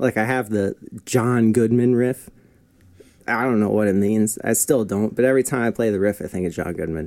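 This man has an American accent and an unremarkable speaking voice at a medium pitch. He talks at a fairly quick pace with ordinary pitch variation. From New Jersey, Denville. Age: 20s. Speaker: musician and music school owner. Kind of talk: casual chat. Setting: studio.

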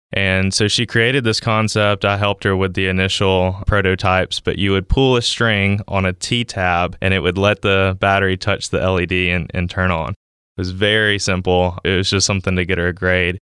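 A man speaks with a very deep, low pitch and a bright, sharp tone in a flat monotone. He barely pauses, his loudness stays very even, and the sound is dry and close with no echo. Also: moderate pace. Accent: Southern US. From US South, Mississippi. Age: 20s. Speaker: startup founder, engineer. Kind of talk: interview.

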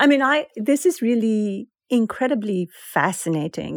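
A woman talks with a Persian accent at a fairly high pitch. Her pitch swings very widely. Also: dry, close sound with no echo. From Iran. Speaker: author and poet. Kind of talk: interview. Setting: remote call.

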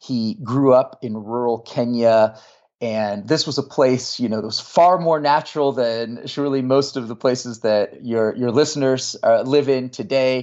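A man with an American accent speaks at a moderate pace, with medium pitch and ordinary pitch variation. He has a plain, everyday voice and hardly any pauses. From US West Coast, Marin County, California. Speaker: religion professor and author. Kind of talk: interview.

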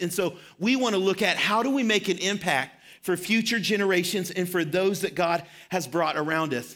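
A man with a slight Southern US accent, high-pitched and fairly quick, with ordinary pitch variation, on a very clean recording with a silent background. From Arkansas. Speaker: pastor. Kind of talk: sermon. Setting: church.

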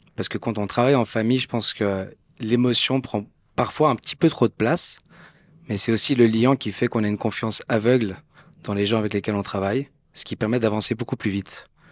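With a normal speaking voice, a man talks at a fairly quick pace in a medium pitch and fairly even intonation, on a very clean recording with a silent background and a dry, close sound with no echo. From Switzerland, Geneva. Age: 40s. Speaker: entrepreneur. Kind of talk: interview.

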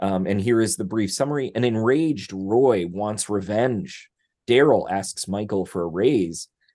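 Against a quiet background, a man with a fairly low voice speaks at a fairly slow pace with ordinary pitch variation. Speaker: literature professor and podcast co-host. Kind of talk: casual chat. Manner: halting, many fillers.

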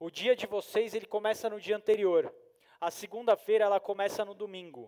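At a moderate pace, the speech comes across dry and close, with no echo. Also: man. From Brazil, São Paulo. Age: 30s. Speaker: motivational speaker, sales and marketing professional. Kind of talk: motivational talk to live audience. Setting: stage with audience. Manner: animated.

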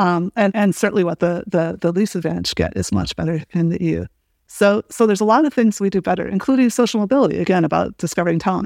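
At a very fast pace, a woman with a Midwestern accent speaks in a dry, close sound with no echo on a very clean recording with a silent background. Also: medium pitch for a woman, ordinary pitch variation. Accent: American Midwestern. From US Midwest, small-town Illinois. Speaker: professor. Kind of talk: interview conversation.

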